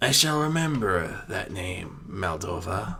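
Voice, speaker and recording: Using a put-on character voice, a man sounds raspy and fairly low-pitched, with very wide pitch swings at a fairly slow pace. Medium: read story. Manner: calm, measured, solemn.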